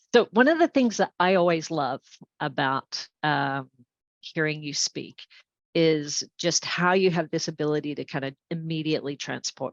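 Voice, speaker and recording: At a moderate pace, a woman with an Australian accent talks in a very deep, low pitch. Her pitch variation is ordinary, while her loudness swings widely. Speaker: environmental nonprofit founder. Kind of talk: interview conversation.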